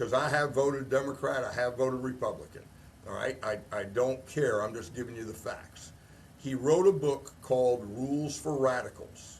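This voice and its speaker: A man with an American accent speaks at a medium pitch and a moderate pace, with ordinary pitch variation. Noticeable background noise runs behind him. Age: 60s. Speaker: retired army officer. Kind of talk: casual chat. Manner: animated.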